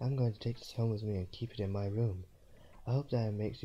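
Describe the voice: The speech is plain reading aloud with fairly even intonation.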